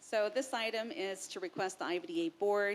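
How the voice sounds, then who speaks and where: A woman speaks loudly. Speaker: agency staff presenter. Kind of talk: formal staff presentation. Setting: public board meeting.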